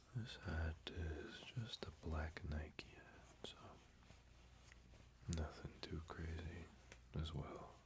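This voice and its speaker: The soft-spoken voice goes very slowly, with long pauses coming often. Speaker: ASMR creator. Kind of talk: ASMR soft-spoken show and tell.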